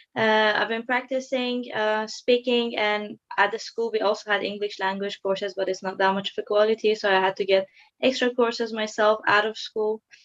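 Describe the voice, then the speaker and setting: With a Persian accent, a woman speaks at a moderate pace in a fairly high pitch, her intonation monotone and flat, hardly pausing, in a dry, close sound with no echo. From Iran. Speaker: psychology student. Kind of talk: video call interview. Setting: video call. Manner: hesitant, many fillers.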